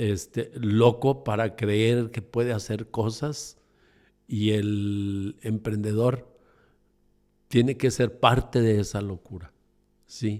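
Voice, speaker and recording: In a very clean recording with a silent background, a man of medium pitch speaks at a very slow pace with fairly even intonation and long, frequent pauses. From Mexico City. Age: 60s. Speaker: entrepreneur. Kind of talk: interview conversation. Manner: halting, many fillers.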